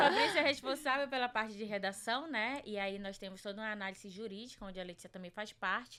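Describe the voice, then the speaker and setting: A woman speaks very fast with hardly any pauses, her fairly high, bright, sharp voice showing big swings in loudness. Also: ordinary pitch variation. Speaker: journalist and researcher. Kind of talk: podcast interview.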